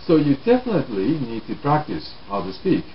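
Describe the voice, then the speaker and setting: A man's moderately paced speech in a Japanese accent, with very wide pitch swings and noticeable background noise. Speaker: English learning teacher. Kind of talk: talk to camera on language learning.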